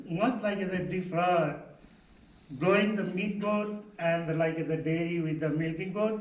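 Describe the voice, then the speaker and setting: Fairly slow, fairly evenly intoned male speech with audible room echo. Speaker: goat farmer. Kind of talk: panel discussion. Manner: halting, many fillers.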